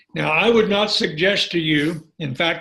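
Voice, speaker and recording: In a bright, sharp tone, the voice moves at a fairly slow pace with fairly even intonation. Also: man. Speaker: marriage and family therapist. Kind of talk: online teaching session. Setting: online call.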